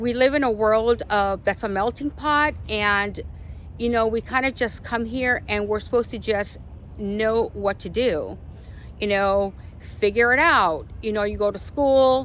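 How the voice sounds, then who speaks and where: Speaking at a fairly slow pace, a woman uses a fairly high pitch. Her pitch variation is ordinary. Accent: Spanish. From Arizona, US (born in Mexico). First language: Spanish. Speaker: lifestyle vlogger. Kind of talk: casual vlog monologue. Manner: casual, many fillers.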